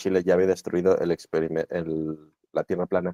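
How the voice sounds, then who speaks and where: Speaking fairly quickly with a Mexican accent, the voice has a dark, mellow tone and a dry, close sound with no echo. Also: man. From Mexico. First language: Spanish. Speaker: interviewer and interpreter. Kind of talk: interview. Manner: halting.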